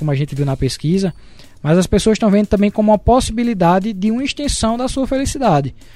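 With lively intonation, this man rattles off his words at a very fast pace. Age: 30s. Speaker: business consultant, co-host. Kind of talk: casual chat.

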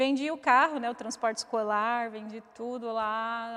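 A woman's fairly high, bright, sharp voice, fairly slow and fairly even in intonation, on a very clean recording with a silent background. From Osasco, São Paulo, Brazil. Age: 40s. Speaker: mother of a ballet student. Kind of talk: interview, personal story.

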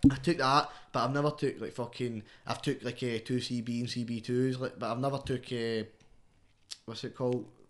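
The speaker uses fairly even intonation in a Scottish accent. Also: man, medium pitch for a man, moderate pace, quiet background. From Scotland. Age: 20s. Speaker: rapper. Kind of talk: casual chat.

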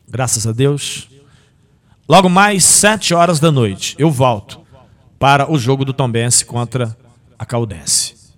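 With lively intonation and an animated tone, a man talks at a fairly slow pace in a fairly high pitch. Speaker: sports radio host. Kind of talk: sports radio show. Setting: radio studio.

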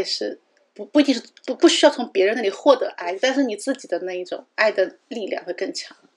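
Using an ordinary speaking voice, a woman talks at a fairly quick pace with lively intonation. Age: 30s. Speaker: podcast co-host. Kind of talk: casual chat.

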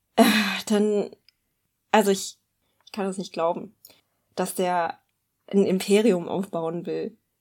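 In a very clean recording with a silent background, a woman with a medium-pitched, dark, mellow tone speaks very slowly in a monotone, flat delivery broken by long, frequent pauses. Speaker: podcast co-host. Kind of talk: casual chat. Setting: studio.

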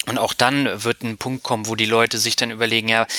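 A man with a medium-pitched voice speaks at a very fast pace, recorded with a dry, close sound and no echo. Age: 30s. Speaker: finance blogger and podcaster. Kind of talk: interview.

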